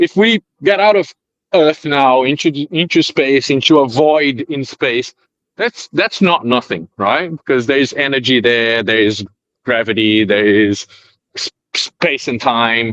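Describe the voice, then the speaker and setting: In a dry, close sound with no echo, a man with a non-native accent speaks at a fairly slow pace. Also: medium pitch for a man, lively intonation. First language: not English. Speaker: debate panelist. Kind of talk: casual debate. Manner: halting.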